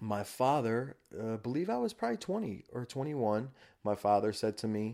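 A man's dark, mellow voice at a medium pitch, on a very clean recording with a silent background. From New York, Rockland County. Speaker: recovery story guest, rehabilitation counselor. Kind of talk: casual interview, personal testimony.

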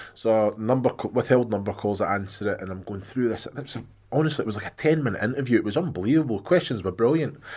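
A man at medium pitch with a Scottish accent, very fast pace, hardly any pauses, ordinary pitch variation and big swings in loudness. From Scotland. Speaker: former footballer, podcast co-host. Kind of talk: casual chat. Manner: jokey.

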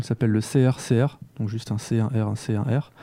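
With a dark, mellow tone and medium pitch, a man talks at a moderate pace and fairly even intonation, recorded in a dry, close sound with no echo. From France, Lyon. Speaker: comic book author and animator. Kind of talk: casual chat.

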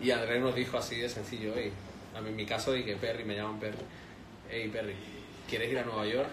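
A man's very fast, monotone delivery with flat intonation and long, frequent pauses, amid noticeable background noise and audible room echo. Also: medium pitch for a man. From Spain, Madrid. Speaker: chef and restaurant owner. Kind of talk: casual interview.

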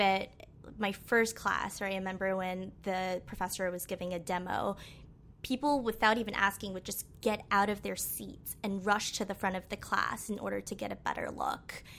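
The speaker is a woman with a normal speaking voice. Her intonation is fairly even. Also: medium pitch for a woman, moderate pace. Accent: American. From Western Massachusetts, US. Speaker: UX designer. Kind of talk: casual interview.

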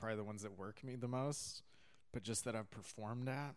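A man with a Californian accent talks at a fairly quick pace in a medium pitch. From California, San Diego and Catalina Island. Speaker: stand-up comedian. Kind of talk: casual chat.

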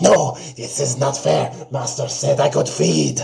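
A man puts on a character voice at medium pitch, raspy and with a hissing quality. He speaks at a fairly slow pace. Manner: whining, frustrated.

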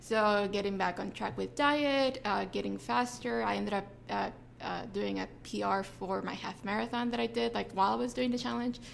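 At a moderate pace, a woman speaks in a fairly low voice. Her pitch swings very widely. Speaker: gym member, runner. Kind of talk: casual interview.

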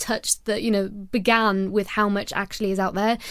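A woman speaks with a Welsh accent at a moderate pace. The recording is very clean, with a silent background. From Wales. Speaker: podcast co-host and conservation campaigner. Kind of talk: casual chat.

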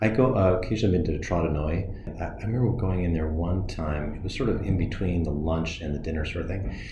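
A man's very deep, low voice at a very fast pace, with ordinary pitch variation, audible room echo and noticeable background noise. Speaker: podcast host. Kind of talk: interview; scripted narration. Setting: principal's office.

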